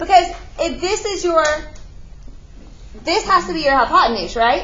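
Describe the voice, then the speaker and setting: Through noticeable background noise and audible room echo, a woman talks at a fairly quick pace. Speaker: math teacher. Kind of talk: classroom lecture. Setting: classroom.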